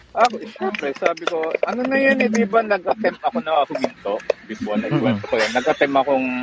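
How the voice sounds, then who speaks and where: A high-pitched man talks at a very fast pace, his pitch swinging very widely. Noticeable background noise is present. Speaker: photographer. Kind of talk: interview.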